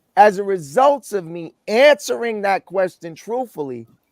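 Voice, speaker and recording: On a very clean recording with a silent background and a dry, close sound with no echo, a man speaks in a high voice at a fairly slow pace with lively intonation. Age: 60s. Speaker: guest on dating talk show. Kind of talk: panel discussion.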